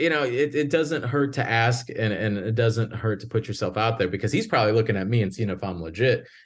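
A man's medium-pitched voice with hardly any pauses, against noticeable background noise. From Northwest Indiana, near Chicago; Puerto Rican family. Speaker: filmmaker and coach. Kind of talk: casual interview. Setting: video call.

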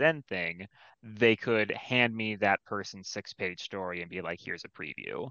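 A man with a plain, everyday voice speaks at a moderate pace and a fairly low pitch. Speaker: comic anthology editor. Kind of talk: casual chat. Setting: video call.

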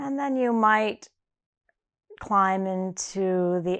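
A woman talks at a very slow pace in a medium pitch. The background is quiet. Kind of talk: guided meditation. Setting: audio recording for listeners lying down. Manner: slow, soft, soothing, unhurried with long pauses; gentle, inviting, warm and imagery-rich.

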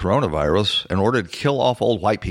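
A man's medium-pitched voice with very wide pitch swings, on a very clean recording with a silent background. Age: 60s. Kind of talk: political commentary monologue.

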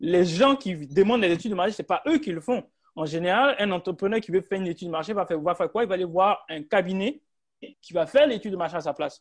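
Very fast and high-pitched, a man speaks with lively intonation and big swings in loudness. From West Africa. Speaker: entrepreneur and podcast host. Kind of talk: guest speaker in online group discussion. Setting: online group call.

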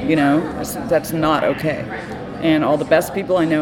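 In an American accent, a woman with a very deep, low pitch talks at a fairly quick pace amid audible room echo and noticeable background noise. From Texas, Austin. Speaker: music publicist. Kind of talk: casual chat.

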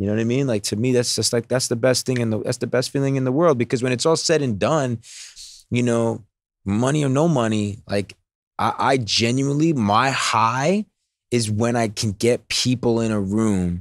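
On a very clean recording with a silent background, a man speaks at a medium pitch with ordinary pitch variation in an unremarkable speaking voice. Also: moderate pace. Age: 30s. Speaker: serial entrepreneur. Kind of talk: casual interview chat.

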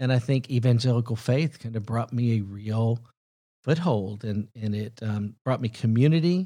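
With a Southern US accent and a dark, mellow tone, a man speaks at medium pitch and a moderate pace with ordinary pitch variation, on a very clean recording with a silent background. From US South (Huntsville, Alabama). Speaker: film executive. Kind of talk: casual interview.

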